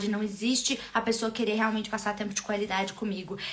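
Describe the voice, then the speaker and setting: The speech comes at a very fast pace. Background noise is noticeable. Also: woman. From Minas Gerais, Brazil. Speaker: love and relationship coach. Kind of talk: live stream talk to viewers. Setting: live stream.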